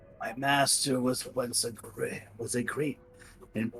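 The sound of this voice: Clear music plays in the background as a man puts on a raspy character voice. He speaks at a medium pitch and a fairly slow pace.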